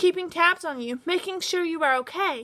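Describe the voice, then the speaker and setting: In a put-on character voice, a woman speaks at a moderate pace, squeaky and extremely high in pitch. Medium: read story. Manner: nervous, with bleating outbursts.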